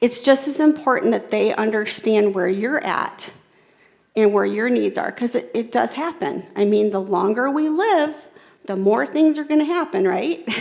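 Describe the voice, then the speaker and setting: This woman's voice sits fairly high. Her pitch swings very widely. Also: moderate pace. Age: 40s. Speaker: keynote speaker. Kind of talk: keynote talk with audience interaction. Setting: stage with audience. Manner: conversational.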